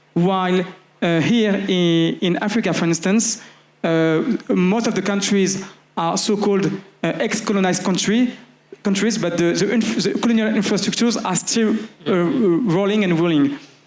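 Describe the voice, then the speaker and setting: Over noticeable background noise, a man talks at a moderate pace with a high pitch, ordinary pitch variation and very even loudness. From France, Paris. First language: French. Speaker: activist and network organizer. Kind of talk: panel discussion. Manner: halting, many fillers.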